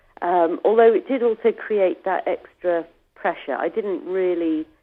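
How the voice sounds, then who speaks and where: A woman with a British accent speaks at a moderate pace with ordinary pitch variation. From England. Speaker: author and ocean rower. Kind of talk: interview. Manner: hesitant, many fillers.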